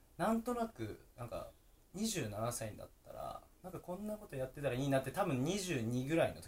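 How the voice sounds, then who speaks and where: This man's high voice moves at a moderate pace, with very wide pitch swings and big swings in loudness. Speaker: podcast host. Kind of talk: interview.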